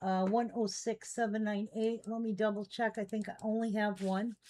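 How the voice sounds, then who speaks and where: A woman with an American accent speaks at a fairly high pitch. Her pace is fairly slow and her intonation monotone and flat. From US Midwest, Chicago area. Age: 60s. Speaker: online collectibles seller. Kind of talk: live selling stream chat. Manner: casual, chatty.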